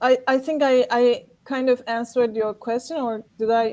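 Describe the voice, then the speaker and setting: Speaking at a very slow pace, a woman with a Turkish accent uses a high pitch and ordinary pitch variation. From Turkey, Istanbul. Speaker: actor and event organizer. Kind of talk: panel discussion. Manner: many fillers like 'like'.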